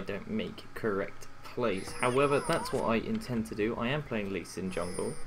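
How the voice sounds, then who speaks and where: Amid audible room echo, a man with a British accent talks at a moderate pace and medium pitch with lively intonation. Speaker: gaming coach. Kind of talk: gameplay commentary. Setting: home recording late at night. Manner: quiet.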